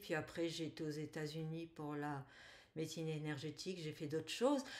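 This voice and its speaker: A woman's fairly low voice on a very clean recording with a silent background. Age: 60s. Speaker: energy healer, former engineer. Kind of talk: interview testimony. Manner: halting.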